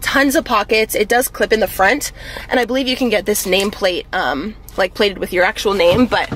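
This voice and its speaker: A woman's fairly quick voice with ordinary pitch variation, dry and echo-free, over light background noise. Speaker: fitness vlogger. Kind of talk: casual vlog chat. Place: car. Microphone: phone near.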